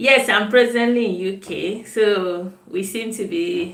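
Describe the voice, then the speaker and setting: With a Nigerian accent, a woman speaks at a very slow pace in a fairly high voice with lively intonation. Room echo is audible. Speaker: nutritionist. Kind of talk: live stream chat. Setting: live video stream. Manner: casual, chatty.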